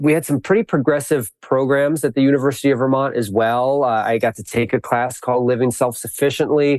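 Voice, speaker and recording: Here is a man with a plain, everyday voice and an American accent. He talks at a fairly quick pace and a medium pitch. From US Midwest, suburbs of Milwaukee, Wisconsin. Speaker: applied ecologist and educator. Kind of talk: interview.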